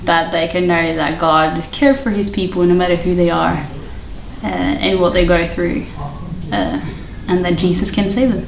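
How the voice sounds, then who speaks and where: Through noticeable background noise and audible room echo, a woman speaks at a fairly low pitch with ordinary pitch variation. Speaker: youth pastor. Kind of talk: interview.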